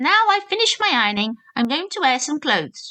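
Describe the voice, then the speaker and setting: A woman's put-on character voice, high and fairly quick, with very wide pitch swings. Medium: read story. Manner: polite, deferential, fussy.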